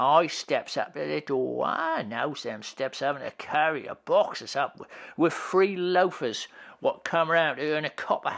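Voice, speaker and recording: A put-on character voice sits at a middle pitch and moves at a moderate pace. The recording is very clean, with a silent background. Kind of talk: rough dialect speech. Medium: read story. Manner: colloquial, rambling.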